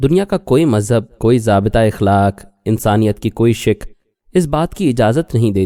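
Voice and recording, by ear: The background is quiet. Someone reads aloud in a natural voice, with lively intonation.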